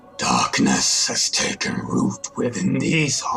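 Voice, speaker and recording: Using a put-on character voice, a man speaks at a very slow pace amid clear background noise. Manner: dramatic, primal.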